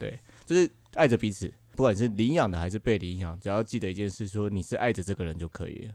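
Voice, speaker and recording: Speaking at a very fast pace, a man has a Taiwanese accent and ordinary pitch variation. The sound is dry and close with no echo. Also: fairly low pitch for a man. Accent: Taiwanese Mandarin. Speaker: podcast host, healing counselor. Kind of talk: casual chat. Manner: animated, joking.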